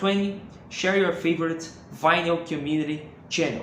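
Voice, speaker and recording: A high-pitched man with a Brazilian accent and ordinary pitch variation, with audible room echo and noticeable background noise. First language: Portuguese. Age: 20s. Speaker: music collector YouTuber. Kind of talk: casual video monologue. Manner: halting, many fillers and repetitions.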